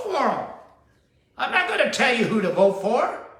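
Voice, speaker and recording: A raised, projected voice carries with audible room echo. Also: man. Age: 70s. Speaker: spiritual teacher and show host. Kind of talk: sermon-style talk show monologue. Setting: at daughter's home.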